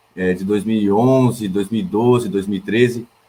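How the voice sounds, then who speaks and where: A man's dark, mellow tone at a moderate pace. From Blumenau, Santa Catarina, southern Brazil. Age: 20s. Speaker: political candidate, sociology teacher and poet. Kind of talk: campaign self-introduction on a livestream. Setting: online livestream. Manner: hesitant, with repetitions and fillers.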